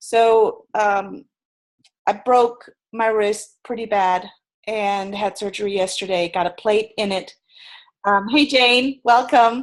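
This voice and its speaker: Speaking in a German accent at a very slow pace, a woman leaves long, frequent pauses. Her voice is fairly high, with ordinary pitch variation. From Germany. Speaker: sales and personality trainer. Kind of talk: webinar presentation. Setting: video webinar from her bed.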